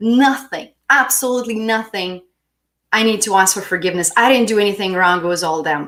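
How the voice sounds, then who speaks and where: A woman at a fairly quick pace, medium in pitch with ordinary variation, a non-native accent and a bright, sharp tone. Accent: noticeable non-native. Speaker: spiritual healing coach. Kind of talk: live-stream self-help talk. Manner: warm, encouraging.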